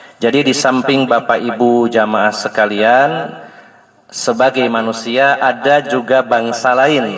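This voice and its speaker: A man's very slow speech, fairly even in intonation and very even in loudness, amid noticeable background noise. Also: medium pitch for a man. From West Java (Sundanese). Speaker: Islamic preacher. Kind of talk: religious study lecture. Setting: religious gathering in a home, power outage.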